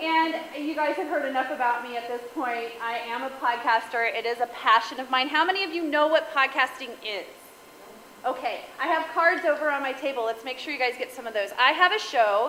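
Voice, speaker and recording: A high-pitched woman's raised, projected voice, animated in tone, at a fairly quick pace with ordinary pitch variation, amid audible room echo and noticeable background noise. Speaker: guest speaker and podcaster. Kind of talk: talk to a women's group. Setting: stage with audience.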